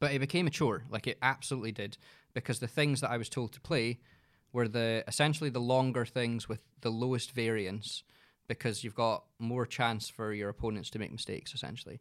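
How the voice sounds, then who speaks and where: With a Scottish accent, a man talks at a medium pitch. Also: ordinary pitch variation, fairly quick pace, very clean recording, silent background. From Scotland. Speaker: entrepreneur, agency managing director. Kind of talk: casual chat.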